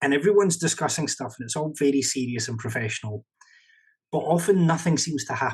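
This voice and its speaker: Somewhat breathy, a man with a fairly high pitch talks at a very fast pace with lively intonation. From Scotland. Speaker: professional interpreter and consultant. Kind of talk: podcast interview.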